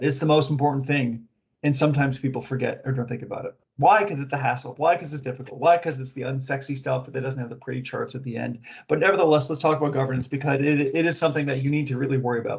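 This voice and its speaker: A man talks at a very fast pace. His voice is fairly high in pitch and somewhat breathy. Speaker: webinar presenter on data governance. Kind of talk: webinar presentation.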